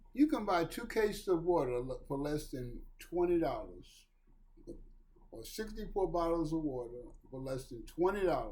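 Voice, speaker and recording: A man with a high pitch and a dark, mellow tone speaks at a moderate pace, his pitch swinging very widely. His loudness also swings a lot, and the room echo is audible. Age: 60s. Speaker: recovery talk video host. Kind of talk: monologue on addiction recovery. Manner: earnest, emphatic.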